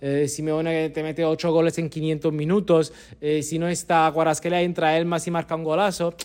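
Here a man speaks at a moderate pace. His fairly high voice stays monotone and flat. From Naples, Italy. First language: Italian (speaking Spanish). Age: 30s. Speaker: football journalist. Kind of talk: casual chat.

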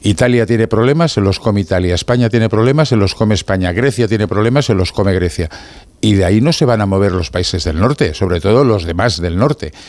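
At a very fast pace, a man with a fairly low pitch speaks with lively intonation and very even loudness. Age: old. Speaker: political commentator. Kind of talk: panel discussion.

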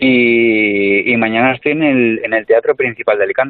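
The voice belongs to a man. His pitch variation is ordinary. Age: 30s. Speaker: comedian. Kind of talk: casual chat. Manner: animated.

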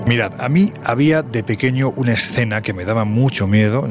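A man's voice with ordinary pitch variation, set against noticeable background noise. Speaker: radio host. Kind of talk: casual chat.

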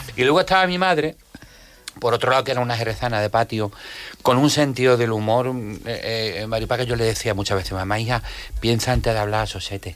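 Amid noticeable background noise, a man at a medium pitch talks very fast with ordinary pitch variation, yet takes long, frequent pauses. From Jerez de la Frontera, Andalusia. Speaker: comedian. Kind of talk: casual chat. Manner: animated.

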